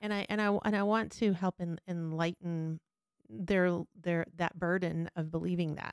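A woman with a fairly low pitch speaks at a moderate pace in a normal speaking voice, her intonation fairly even and the sound dry and close with no echo. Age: 50s. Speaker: podcast host. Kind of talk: casual chat.

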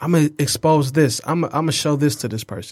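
In a very clean recording with a silent background, a man talks at a very fast pace with an American accent. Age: 20s. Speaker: podcast host. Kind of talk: casual chat. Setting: studio.

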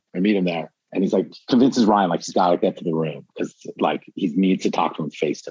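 A man's plain, everyday voice with lively intonation at a fairly quick pace. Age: 40s. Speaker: former record label employee. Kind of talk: casual interview.

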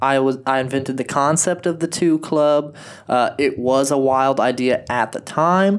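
A man talks at a moderate pace in a plain, everyday voice, fairly high in pitch with ordinary pitch variation and very even loudness, on a very clean recording with a silent background. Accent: American. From United States. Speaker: podcast co-host. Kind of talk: casual chat.

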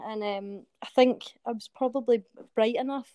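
This voice has a dark, mellow tone in a Glaswegian accent, with a dry, close sound and no echo. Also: woman. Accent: Glaswegian Scottish. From Scotland, Glasgow. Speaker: soldier. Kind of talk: interview. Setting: remote call.

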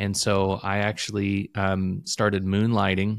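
With an American accent, a man speaks in a very deep, low pitch and fairly even intonation, the sound dry and close with no echo. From Illinois, US Midwest. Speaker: entrepreneur, former IT professional. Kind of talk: casual interview chat. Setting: remote call.

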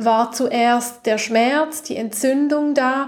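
A woman speaks in a calm, soothing tone. Her pace is very slow and her intonation fairly even. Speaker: podcast host and holistic coach. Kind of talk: guided meditation. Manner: slow, soft, calm and soothing, with long pauses; gentle, intimate, directly addressing the listener as 'du'.

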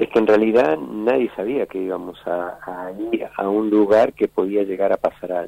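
An unremarkable speaking voice from a man, fairly low in pitch with ordinary pitch variation, at a fairly slow pace. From Argentina, Buenos Aires area. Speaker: war veteran and former footballer. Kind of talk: interview testimony.

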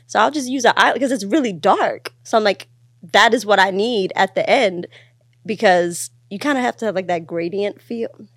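With lively intonation and a normal speaking voice, a woman talks at a moderate pace and medium pitch. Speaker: podcast host. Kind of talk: casual chat.

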